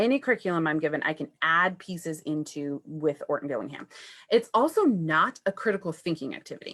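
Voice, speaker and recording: Speaking at a fairly quick pace, a woman with a plain, everyday voice uses lively intonation at a fairly low pitch. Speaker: first grade teacher. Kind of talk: presentation on Facebook Live. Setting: live video stream.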